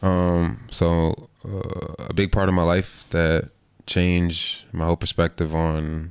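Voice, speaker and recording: A man with a New York accent speaks in a very deep, low voice with fairly even intonation, captured in a very clean recording against a silent background. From New York, Queens. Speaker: basketball player. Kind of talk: interview. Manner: casual.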